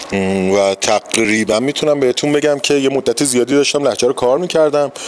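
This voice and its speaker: A man with a Tehran accent at a moderate pace, with ordinary pitch variation, over noticeable background noise. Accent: Tehrani Persian. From Iran, Tehran. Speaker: stage actor. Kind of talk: interview.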